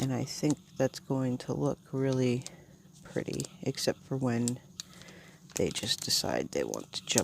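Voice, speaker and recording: Mumbling at a fairly slow pace, a woman speaks. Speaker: planner channel creator. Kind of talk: casual plan-with-me tutorial.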